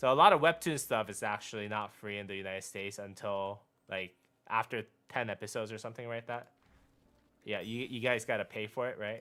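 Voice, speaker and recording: In a very clean recording with a silent background, a man with a Korean accent talks at a fairly quick pace and medium pitch, with ordinary pitch variation and big swings in loudness. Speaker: gaming streamer. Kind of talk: casual live-stream chat.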